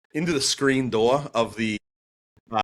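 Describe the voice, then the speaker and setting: A man speaks with a Boston accent in a very clean recording with a silent background. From Boston, US. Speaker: pastor and apologetics speaker. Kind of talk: podcast interview, telling his testimony. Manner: animated storytelling with many fillers.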